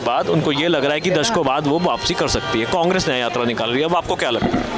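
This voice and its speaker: A man with a fairly high voice talks at a moderate pace with ordinary pitch variation, audible room echo and noticeable background noise. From India, Old Delhi. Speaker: street interviewer. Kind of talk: street interview.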